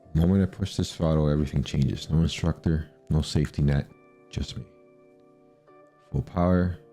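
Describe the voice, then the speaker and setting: A man's very deep, low voice in a calm tone at a moderate pace, fairly even intonation, with music in the background. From Canada. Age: 40s. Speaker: student pilot. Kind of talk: recorded voice-over narration of flight footage. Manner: calm, reflective internal monologue.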